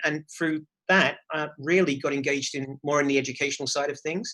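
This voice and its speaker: A man talks at a very fast pace with an English accent. His pitch is fairly high. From England. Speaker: charity executive director. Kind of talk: interview. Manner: hesitant, with many fillers and repeated words.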